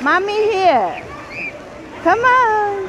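The voice sounds dry with no echo, set against loud background noise. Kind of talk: casual calls to a child. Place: waterside. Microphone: phone near.

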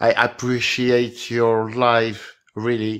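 With a strong French accent, a man speaks at a very slow pace. The background is quiet. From France. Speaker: caller. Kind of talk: casual chat. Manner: halting. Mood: earnest, appreciative. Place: home room. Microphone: video call.

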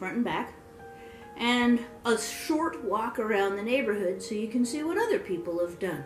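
A woman speaks with audible room echo and faint music in the background. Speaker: home vlogger. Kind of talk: casual vlog chat. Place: home room. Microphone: phone near.

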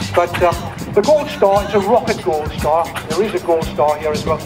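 Clear music plays behind a man as he talks. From Newcastle (Geordie). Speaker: event commentator. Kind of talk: live event commentary. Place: open country. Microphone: pa.

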